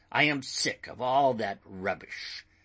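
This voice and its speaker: Using a raspy put-on character voice, a man talks at a fairly slow pace and a medium pitch. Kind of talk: audiobook character voice. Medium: read story. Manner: erratic, shifting from cringing to resolute.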